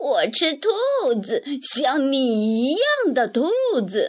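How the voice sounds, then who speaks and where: In a put-on character voice, a woman speaks at a very slow pace, high-pitched and raspy. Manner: menacing.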